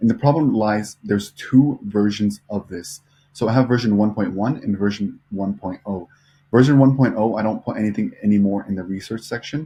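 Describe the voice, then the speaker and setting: A man's fairly low, dark, mellow voice, somewhat breathy, with ordinary pitch variation at a moderate pace. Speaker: social media marketing agency owner, vlogger. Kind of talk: casual vlog and screen-share tutorial. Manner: mumbling, lots of fillers; unscripted, off the cuff.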